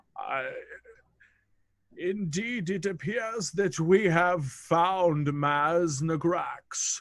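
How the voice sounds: A man uses a put-on character voice with a fairly bright tone. He goes at a very slow pace, and his pitch varies in an ordinary way. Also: fairly high pitch for a man.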